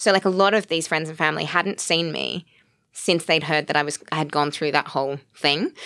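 A woman with an Australian accent has a very deep, low pitch and a bright, sharp tone. Her intonation is fairly even. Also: fairly quick pace. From Australia (Sydney). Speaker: actress, writer and producer. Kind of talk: casual chat.

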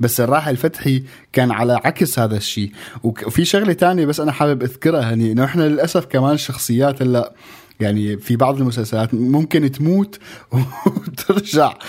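Using a normal speaking voice, a man talks at a moderate pace and medium pitch with lively intonation. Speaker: radio co-host. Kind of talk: casual radio chat.

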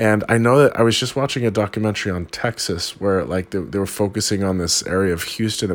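Through noticeable background noise comes a man's fairly low voice with an American accent. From California. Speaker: podcast host. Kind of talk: casual monologue. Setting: rented basement room while travelling. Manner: rambling, filler-heavy.

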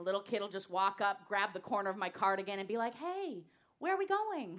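There is noticeable background noise. A woman with medium pitch speaks at a fairly quick pace. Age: 30s. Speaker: stand-up comedian. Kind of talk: stand-up. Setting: stage with audience.

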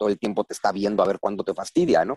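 Heard with a dry, close sound and no echo, a man with a Mexican accent speaks at a fairly low pitch. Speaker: historian and writer. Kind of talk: interview conversation.

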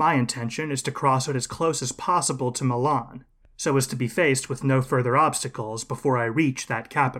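A man speaks in a normal speaking voice at a medium pitch and a fairly quick pace, on a very clean recording with a silent background. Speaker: history podcast host. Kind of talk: scripted history narration, lecture-like storytelling. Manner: measured, steady, formal and explanatory.

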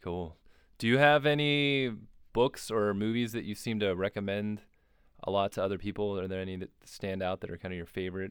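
An ordinary speaking voice goes at a fairly quick pace with ordinary pitch variation. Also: man, fairly low pitch for a man. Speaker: podcast host. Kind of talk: casual interview chat.

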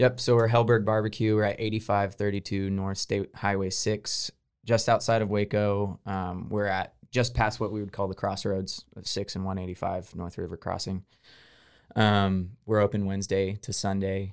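Heard in a very clean recording with a silent background, the speaker has an American accent, a moderate pace and a monotone, flat intonation. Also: man, fairly low pitch for a man. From Texas, Houston. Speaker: barbecue restaurant owner. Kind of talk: interview.

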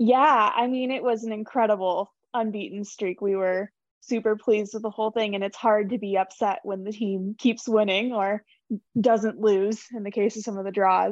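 Speaking in an ordinary speaking voice with an American accent, a woman keeps a moderate pace, a fairly high pitch and fairly even intonation. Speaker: team communications staffer. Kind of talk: casual chat.

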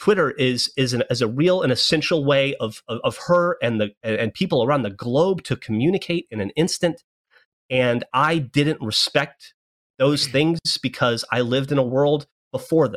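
In an American accent, a man with a fairly high pitch speaks at a moderate pace with ordinary pitch variation, the sound dry and close with no echo. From US South. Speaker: web show host. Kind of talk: serious group discussion. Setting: video call. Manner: halting.

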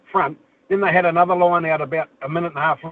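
A man with a New Zealand accent. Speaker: caller. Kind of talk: phone-in chat.

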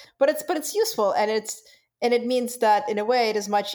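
In a Russian accent, the speaker talks with a dark, mellow tone. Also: woman. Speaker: podcast co-host. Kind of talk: casual chat.

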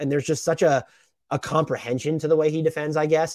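The recording is very clean, with a silent background. A man speaks in a fairly high pitch. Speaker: basketball podcast host. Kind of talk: solo mailbag podcast, casual talk. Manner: fast talker.

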